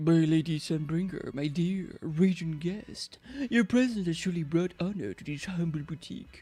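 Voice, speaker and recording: In a put-on character voice, a man speaks at a high pitch. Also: moderate pace. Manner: pompous, formal, deferential.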